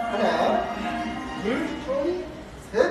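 Strong room echo over music in the background. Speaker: gym trainer. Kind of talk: counting reps and coaching cues. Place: gym. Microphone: camera far.

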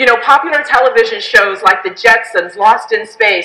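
A woman speaks in a raised, projected voice at a moderate pace. Echo from the room is audible. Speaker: speaker. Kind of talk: keynote speech. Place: hall. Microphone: headset.

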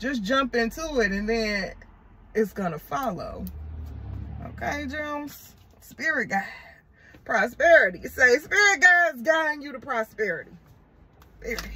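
In a raised, projected voice, a woman with a high pitch speaks at a fairly slow pace, her pitch swinging very widely, with long, frequent pauses. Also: big swings in loudness. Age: 30s. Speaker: tarot reader. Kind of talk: tarot reading video. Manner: animated. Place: car. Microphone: phone near.

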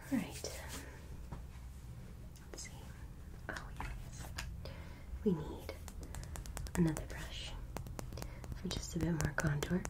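Loud background noise runs throughout. A woman speaks with long, frequent pauses. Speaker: ASMR artist. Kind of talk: ASMR personal attention role play. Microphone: studio mic.

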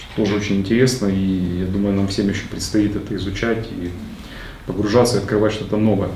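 A man talks at a fairly quick pace in a flat monotone, with light background noise and audible room echo. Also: fairly low pitch for a man. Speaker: book club participant. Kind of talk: group book discussion. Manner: talkative. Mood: relaxed, friendly. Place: meeting room. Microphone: camera far.

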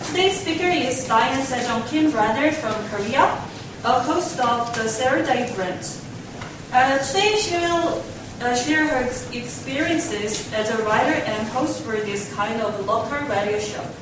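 Amid noticeable background noise and audible room echo, a woman talks at a high pitch. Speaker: student event presenter. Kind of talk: formal speaker introduction. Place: meeting room. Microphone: camera far.

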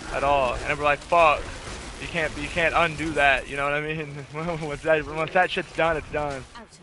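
In an American accent, a man with a fairly high pitch and a bright, sharp tone speaks in monotone, flat intonation, in a dry sound without echo and with noticeable background noise. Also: moderate pace. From Southeast Missouri, US. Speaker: gaming streamer. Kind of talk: casual gameplay chat. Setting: live stream. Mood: relaxed, joking. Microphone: headset.

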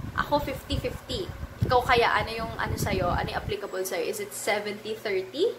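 The speech moves at a moderate pace with hardly any pauses, over noticeable background noise. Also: woman. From Philippines. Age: 20s. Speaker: personal finance vlogger. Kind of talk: vlog tutorial. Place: home room. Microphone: phone near.

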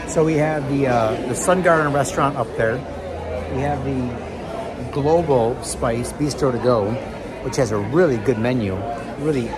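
A man speaks with ordinary pitch variation while a crowd can be heard in the background. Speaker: travel vlogger. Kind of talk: casual vlog chat. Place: hall. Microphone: phone near.

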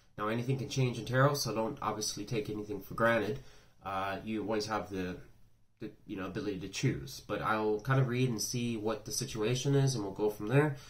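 A man talks at a fairly quick pace with ordinary pitch variation. His voice is fairly low and somewhat breathy. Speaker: tarot reader. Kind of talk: casual reading intro. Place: home room. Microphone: phone near.

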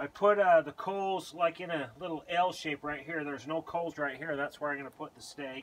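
With hardly any pauses, a man speaks at a moderate pace and fairly even intonation. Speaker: home cook host. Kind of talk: cooking tutorial. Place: garden. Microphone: camera far.

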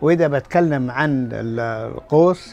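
Faint music plays in the background. Over it, a man speaks with lively intonation. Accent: Qatari. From Qatar. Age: 80s+. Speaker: former pearl diver and bodybuilder. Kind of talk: interview answer. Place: shop.

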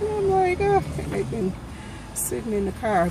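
A woman's voice comes through with noticeable background noise. The sound is dry, with no echo. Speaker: vlogger. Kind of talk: casual vlog chat. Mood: warm, grateful, chatty. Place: car. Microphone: phone near.

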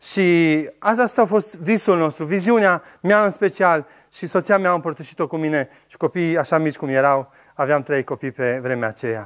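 A man with a fairly high voice speaks at a moderate pace, his intonation lively and his loudness swinging widely. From Romania, Oradea. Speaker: organic farmer. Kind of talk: talk to audience. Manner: halting.

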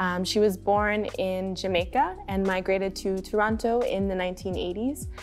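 Faint music plays in the background at a moderate pace. The speaker barely pauses, and the intonation stays fairly even. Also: woman. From Ontario, Canada. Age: 20s. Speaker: community organizer and DJ. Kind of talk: educational history presentation. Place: studio.

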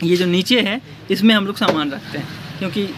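A man speaks at a moderate pace with ordinary pitch variation. Loud background noise runs underneath. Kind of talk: casual vlog chat. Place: shop. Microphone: phone near.

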